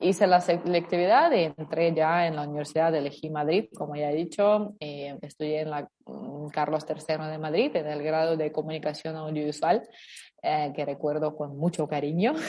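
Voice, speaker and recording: This woman's pitch is very deep and low. She keeps her intonation fairly even. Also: moderate pace. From Ukraine. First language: Ukrainian or Russian (speaking Spanish). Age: 20s. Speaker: interview guest. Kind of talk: interview conversation.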